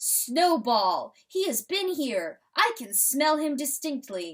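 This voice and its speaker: In a put-on character voice, the speaker goes very slowly at a high pitch with very wide pitch swings. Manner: exclaiming.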